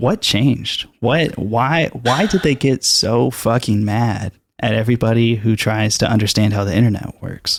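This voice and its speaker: On a very clean recording with a silent background, a man with a medium pitch talks at a moderate pace with hardly any pauses and very even loudness. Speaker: podcast host. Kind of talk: podcast interview. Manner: monotone.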